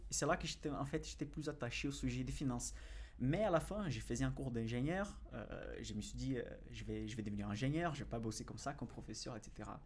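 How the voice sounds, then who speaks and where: Heard with audible room echo, a man with a Brazilian accent speaks at a fairly quick pace. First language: Portuguese (speaking French). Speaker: financial analyst and investing YouTuber. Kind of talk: podcast interview. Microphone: far from the mic.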